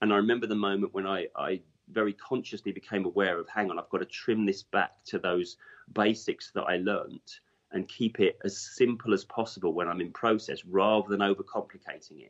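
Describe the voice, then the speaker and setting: A man with an English accent at a fairly quick pace. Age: 40s. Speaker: hypnotherapist. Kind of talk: interview.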